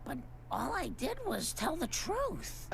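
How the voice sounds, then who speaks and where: A cartoonish character voice speaks at a fairly slow pace over clear background noise. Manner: earnest, mild.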